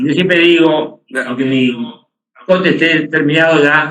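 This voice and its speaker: A fairly high-pitched man speaks at a fairly slow pace, with audible room echo around his voice. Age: 70s. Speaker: bartender. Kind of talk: casual chat.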